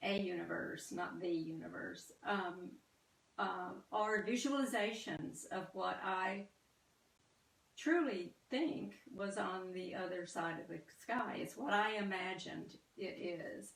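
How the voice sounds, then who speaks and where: Lively intonation and a slight Southern US accent come through at a very slow pace, with audible room echo. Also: woman, medium pitch for a woman. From US South. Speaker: artist. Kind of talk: artist talk. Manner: halting, many fillers.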